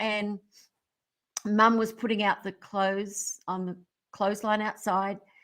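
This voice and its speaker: A woman's fairly high voice with an Australian accent, fairly slow pace, in a very clean recording with a silent background. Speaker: motivational speaker, former singer. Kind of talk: radio interview.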